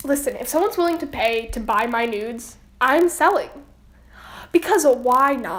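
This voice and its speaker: Long, frequent pauses break up a woman's high-pitched voice, which carries lively intonation. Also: moderate pace. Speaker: podcast co-host. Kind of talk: casual chat.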